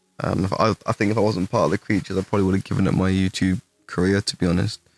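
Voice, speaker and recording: Very fast and in an English accent, a man speaks at a fairly low pitch with monotone, flat intonation, very even loudness, and a dry, close sound with no echo. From England. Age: 20s. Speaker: gaming streamer. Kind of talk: live stream Q&A. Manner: casual, halting with fillers.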